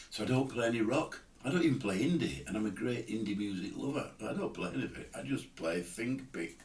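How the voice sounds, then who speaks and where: Speaking at a moderate pace, a man with a medium-pitched voice shows vocal fry. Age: 70s. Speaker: amateur guitarist. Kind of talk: tutorial. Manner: casual, hesitant.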